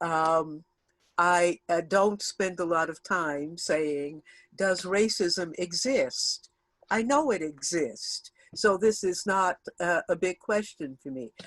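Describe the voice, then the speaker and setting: A woman's fairly low voice with an American accent at a very slow pace, ordinary pitch variation, a dry, close sound with no echo and a quiet background. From US South, Houston, Texas. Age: 70s. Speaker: theater and media artist. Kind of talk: invited talk.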